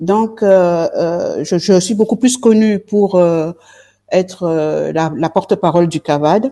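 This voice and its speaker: A woman's fairly low, dark, mellow voice at a very slow pace, with ordinary pitch variation and a dry, close sound with no echo. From southern France, Marseille. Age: 60s. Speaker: politician, party leader. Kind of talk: interview. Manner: halting, many hesitations.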